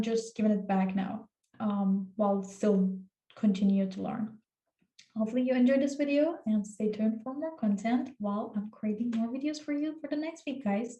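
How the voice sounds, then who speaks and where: A somewhat breathy voice with a dark, mellow tone and a fairly quick pace. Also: woman. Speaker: cybersecurity tutorial YouTuber. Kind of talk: tutorial. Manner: casual, many filler words.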